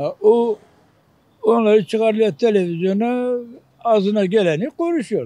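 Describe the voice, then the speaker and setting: A man with a dark, mellow tone speaks fairly slowly, his pitch varying in an ordinary way. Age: 70s. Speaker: street interviewee. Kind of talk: street interview. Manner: animated.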